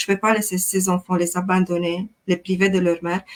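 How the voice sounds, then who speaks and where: Speaking at a moderate pace, a woman with a Romanian accent uses a medium pitch. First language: Romanian (speaking French). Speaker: life coach. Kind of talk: interview testimony.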